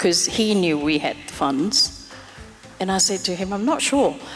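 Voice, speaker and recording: Music plays in the background. A woman speaks with lively intonation. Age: 60s. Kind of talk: interview answer.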